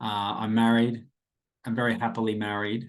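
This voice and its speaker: A man talks with an Australian accent at medium pitch and moderate pace. The background is quiet. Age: 30s. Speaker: podcast host, casual teacher. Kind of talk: casual podcast monologue. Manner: rambling, informal.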